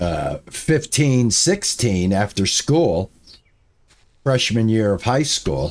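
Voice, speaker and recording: His pace is very slow. The man's pitch rises and falls over a very wide range. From New England. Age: 60s. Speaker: game streamer. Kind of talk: live gameplay stream chat. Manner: casual, rambling with fillers.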